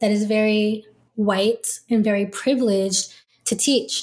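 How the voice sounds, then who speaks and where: A somewhat breathy woman speaks at a fairly slow pace in a monotone, flat intonation. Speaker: law student. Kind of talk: interview.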